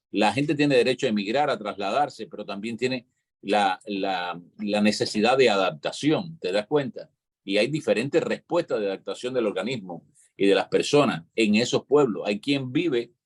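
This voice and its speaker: The speaker has a Cuban accent and talks at a moderate pace. The sound is dry and close, with no echo. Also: man. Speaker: panelist on live online talk show. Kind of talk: live panel discussion.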